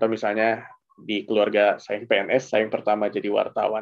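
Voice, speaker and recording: A man speaks at a fairly quick pace in a monotone, flat intonation against a quiet background. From Indonesia. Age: 30s. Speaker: journalist and graduate student; journalist. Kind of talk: casual interview and presentation. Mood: relaxed, reflective. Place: home room. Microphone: headset.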